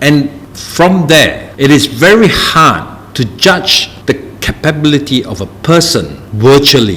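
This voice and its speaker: A man's voice with very wide pitch swings against noticeable background noise. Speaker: tech company CEO. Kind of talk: live Q&A session. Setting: live stream on social media. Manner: halting with fillers.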